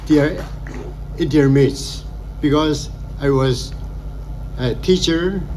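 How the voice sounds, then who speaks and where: Fairly even intonation in a Naga accent, with audible room echo and noticeable background noise. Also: man. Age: 80s+. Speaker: retired sports officer and coach. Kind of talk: speech at a ceremony.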